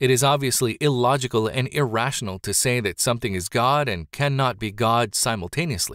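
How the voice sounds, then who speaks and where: In a normal speaking voice, a man talks fairly quickly at a medium pitch with ordinary pitch variation and hardly any pauses, on a very clean recording with a silent background. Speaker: audiobook narrator. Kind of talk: audiobook reading of religious nonfiction, scripted and formal. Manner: measured, formal, even-paced.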